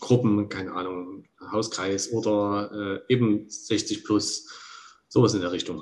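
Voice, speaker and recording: A man's fairly low voice keeps a fairly even intonation. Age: 40s. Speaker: church volunteer. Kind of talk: casual chat. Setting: remote call.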